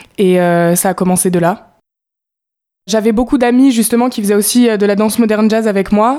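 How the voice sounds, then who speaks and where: This woman has an unremarkable speaking voice at medium pitch, using fairly even intonation and a fairly quick pace. The recording is very clean, with a silent background. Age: young. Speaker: musical theatre student. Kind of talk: interview.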